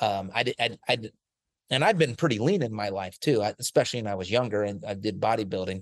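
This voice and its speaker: A man with a normal speaking voice, medium pitch and an American accent, against a quiet background. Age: 40s. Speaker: sports nutrition researcher. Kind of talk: casual chat.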